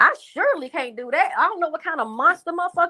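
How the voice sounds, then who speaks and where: A woman speaks very fast in a raised, projected voice with a bright, sharp tone. She sounds animated, and the sound is dry and close with no echo. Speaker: live streamer discussing a case. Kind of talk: casual live stream talk.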